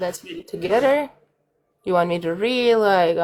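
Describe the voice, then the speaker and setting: A woman's medium-pitched voice in a strong Russian accent, with lively intonation and big swings in loudness. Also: moderate pace. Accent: thick Russian. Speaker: co-host reading news sources aloud.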